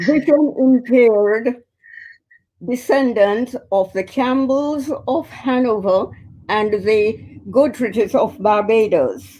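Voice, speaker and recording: At a very slow pace, a woman speaks with a fairly high pitch and a dark, mellow tone. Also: ordinary pitch variation. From Jamaica. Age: 90s. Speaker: community elder and organization president. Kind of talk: interview. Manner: formal.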